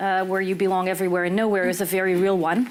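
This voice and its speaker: Over noticeable background noise, a woman speaks at a medium pitch with an American accent. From US, Los Angeles (Israeli parents). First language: Hebrew. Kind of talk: panel discussion. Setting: small room with audience.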